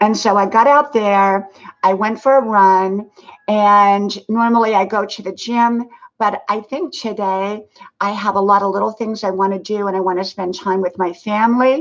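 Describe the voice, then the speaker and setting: A woman speaks at a moderate pace with a medium pitch and a plain, everyday voice. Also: fairly even intonation. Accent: American. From US South. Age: 60s. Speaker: live streamer. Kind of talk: casual live stream chat. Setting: live stream. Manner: casual, filler-heavy.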